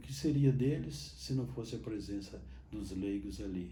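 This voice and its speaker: A man's dark, mellow voice with vocal fry, a fairly slow pace, very wide pitch swings and audible room echo. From Minas Gerais, Brazil (Botelhos). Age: 80s+. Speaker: Capuchin friar and priest. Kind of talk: interview testimony. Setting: sanctuary church. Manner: halting, with repetitions.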